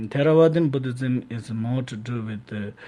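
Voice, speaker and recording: Speaking at a moderate pace with a Tibetan accent, a man has a medium pitch, a dark, mellow tone and ordinary pitch variation. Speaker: Tibetan Buddhist lama. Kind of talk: radio interview answer on Buddhist teaching.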